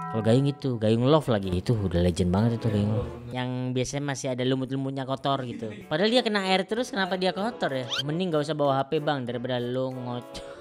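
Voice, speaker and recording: Over music in the background, the speaker talks very fast with a Javanese accent and hardly any pauses. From Java, Indonesia. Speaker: comedian and YouTuber. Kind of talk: casual reaction commentary. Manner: animated.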